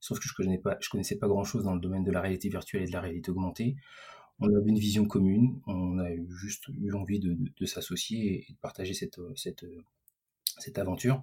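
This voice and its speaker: Delivered at a fairly quick pace, the voice is somewhat breathy with a dark, mellow tone and fairly even intonation. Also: man, fairly low pitch for a man. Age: 40s. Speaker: digital entrepreneur. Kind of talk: interview. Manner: halting, many repetitions and fillers.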